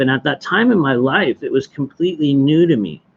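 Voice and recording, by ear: A man at medium pitch with a slightly husky edge, at a fairly slow pace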